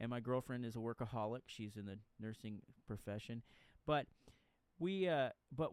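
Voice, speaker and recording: With a Texan accent, a man speaks at medium pitch using lively intonation. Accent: Texan American. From Texas. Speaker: podcast host, author. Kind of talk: casual interview chat. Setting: late-night home recording. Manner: halting.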